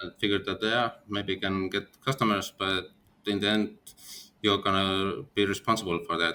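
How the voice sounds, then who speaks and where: A man's fairly low-pitched voice in an Estonian accent, bright and sharp in tone, with fairly even intonation at a moderate pace. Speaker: company founder. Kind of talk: interview. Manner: halting.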